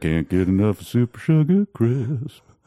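A put-on character voice at a moderate pace. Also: man, medium pitch for a man.

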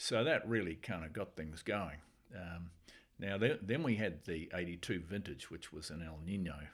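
Using ordinary pitch variation, a man with a New Zealand accent speaks at a very deep, low pitch. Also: moderate pace, big swings in loudness. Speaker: winemaker. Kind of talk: casual chat.

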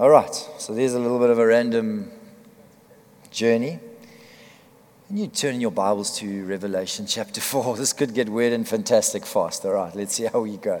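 At a moderate pace, a man talks with long, frequent pauses. His pitch is medium, with ordinary variation. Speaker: preacher and worship trainer. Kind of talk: sermon / worship teaching. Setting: church gathering with audience.

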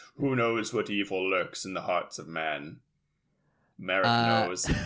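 A man puts on a gravelly character voice at a fairly low pitch. He speaks at a fairly slow pace with ordinary pitch variation. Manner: ominous, dramatic.

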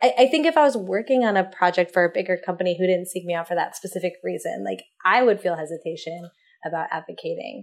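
A woman speaks at a very fast pace. Vocal fry runs through her voice. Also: medium pitch for a woman, lively intonation. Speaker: freelance illustrator. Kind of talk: interview.

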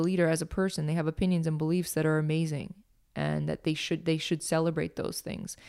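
A woman's fairly low voice, monotone and flat in intonation, on a very clean recording with a silent background. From northern Quebec, Canada. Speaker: business consultant and workshop leader. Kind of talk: podcast interview.

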